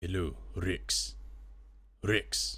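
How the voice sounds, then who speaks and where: The speaker uses a put-on character voice that leaps through very wide pitch swings. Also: man. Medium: actual play. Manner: formal, commanding.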